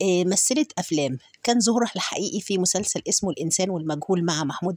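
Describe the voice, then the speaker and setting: A woman speaks with an Egyptian accent in a fairly low voice. The sound is dry and close, with no echo. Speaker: YouTube narrator. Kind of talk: narrated biography with photos. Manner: hesitant with fillers.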